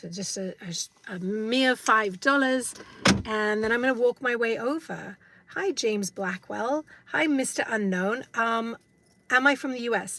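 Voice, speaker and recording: Speaking in an English accent, a woman uses a fairly high pitch, ordinary pitch variation and a fairly slow pace. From England. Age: 50s. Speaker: vlogger. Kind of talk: live stream vlog. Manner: hesitant, many fillers.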